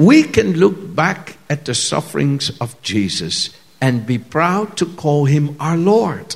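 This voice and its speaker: This man's voice sits fairly high in pitch, with lively intonation. He speaks at a very slow pace. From Netherlands. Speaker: visiting preacher. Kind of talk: sermon. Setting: church stage with audience, speaking through an interpreter.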